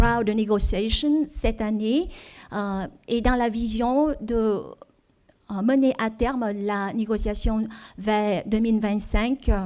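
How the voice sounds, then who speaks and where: A woman with a Vietnamese accent and a fairly high pitch, a dark, mellow tone, fairly even intonation, a very slow pace and long, frequent pauses. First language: Vietnamese (speaking French). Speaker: diplomat, trade official. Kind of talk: seminar presentation. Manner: halting, many fillers.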